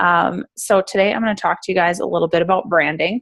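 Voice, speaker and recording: In an Upper Midwest accent, the speaker talks at a fairly quick pace with ordinary pitch variation over a quiet background. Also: woman. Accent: Wisconsin, Upper Midwest. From Central Wisconsin. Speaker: brand designer and coach. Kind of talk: informal presentation. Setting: group conference call.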